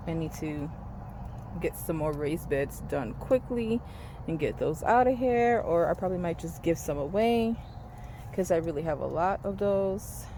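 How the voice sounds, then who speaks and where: Fairly slow pace with long, frequent pauses. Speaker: home gardener vlogger. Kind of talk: casual garden tour vlog.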